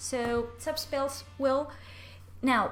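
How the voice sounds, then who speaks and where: With music in the background and audible room echo, a woman speaks at a fairly slow pace in a Spanish accent. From Spain. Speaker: card game content creator. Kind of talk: gameplay commentary.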